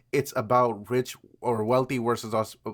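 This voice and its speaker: This very clean recording with a silent background captures a man speaking at medium pitch. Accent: non-native. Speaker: vlogger. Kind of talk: casual monologue. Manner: halting, many fillers.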